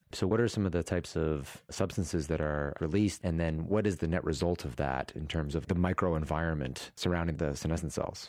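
Speaking at a fairly quick pace with hardly any pauses, a man uses a very deep, low voice with ordinary pitch variation. The recording is very clean, with a silent background. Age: 40s. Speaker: podcast host. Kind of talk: interview.

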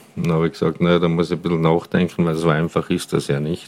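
Noticeable background noise runs under the recording. A man speaks at a very deep, low pitch. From Austria, Tyrol (Paznaun valley). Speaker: regional hunting association head and wine tavern owner. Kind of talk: interview. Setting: on location at his wine tavern, mobile recording.

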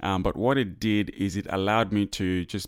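A man's very deep, low pitch with fairly even intonation, on a very clean recording with a silent background. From Zambia. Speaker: business consultant. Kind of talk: interview.

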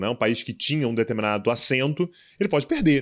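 A man at medium pitch speaks at a very fast pace with ordinary pitch variation, in a very clean recording with a silent background. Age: 30s. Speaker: international relations professor and commentator. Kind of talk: casual interview.

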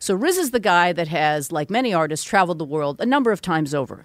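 A woman with a plain, everyday voice, fairly low in pitch and at a fairly quick pace, on a very clean recording with a silent background. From Vancouver, western Canada. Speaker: music industry executive and author. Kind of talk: interview conversation.

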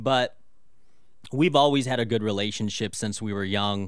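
This is a normal speaking voice at a moderate pace. Its intonation stays fairly even. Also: man. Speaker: pastor. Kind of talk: radio interview about fatherhood.

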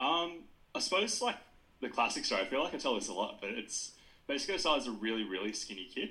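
This man's tone is bright and sharp. His pitch varies in an ordinary way. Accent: Australian. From New South Wales south coast, Australia. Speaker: sports dietitian. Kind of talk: podcast interview.

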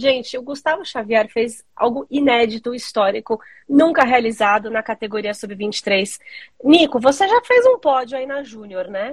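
This woman talks fairly slowly, her high voice showing ordinary pitch variation. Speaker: mountain bike commentator. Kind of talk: casual sports chat. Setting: remote call over mobile data.

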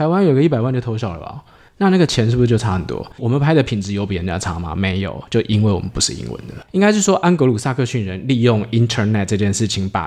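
The speaker talks at a very fast pace with hardly any pauses. The pitch swings very widely. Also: man, medium pitch for a man. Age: 40s. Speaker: startup founder. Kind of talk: interview. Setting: drink shop.

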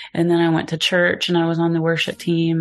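Soft-spoken, a woman talks with an American accent at a very deep, low pitch. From Oklahoma, US. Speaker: podcast guest, photographer and singer. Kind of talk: casual chat. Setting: in person, two mics.

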